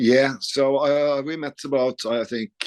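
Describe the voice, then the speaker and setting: Fairly even intonation marks a man speaking with a Norwegian accent. The sound is dry and close with no echo, over a quiet background. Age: 50s. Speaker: rock guitarist. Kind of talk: interview. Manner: halting.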